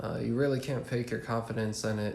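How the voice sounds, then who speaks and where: At a moderate pace, a man speaks at a medium pitch, with audible room echo. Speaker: student in military service. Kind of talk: recorded class journal entry. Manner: monotone; frequent filler uhs.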